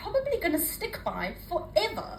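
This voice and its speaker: A woman's voice over noticeable background noise. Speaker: poet. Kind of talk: spoken word poetry performance. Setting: live open mic.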